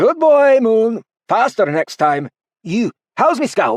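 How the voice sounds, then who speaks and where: A put-on character voice moves at a fairly slow pace with very wide pitch swings. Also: man. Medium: read story. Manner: warm, chatty.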